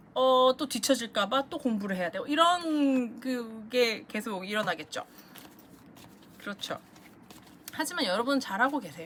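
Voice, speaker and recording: Using lively intonation, a woman with a high voice leaves long, frequent pauses and makes big swings in loudness. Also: moderate pace. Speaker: tarot reader. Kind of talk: tarot reading monologue.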